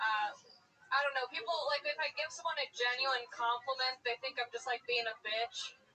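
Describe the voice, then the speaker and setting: A woman speaks in a high, raised and projected voice, her loudness staying very even throughout. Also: ordinary pitch variation, moderate pace. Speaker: stand-up comedian. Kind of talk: stand-up.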